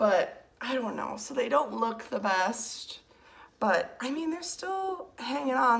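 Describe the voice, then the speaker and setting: A woman with a high pitch and lively intonation speaks at a fairly slow pace amid noticeable background noise. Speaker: plant collector vlogger. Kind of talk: casual chat.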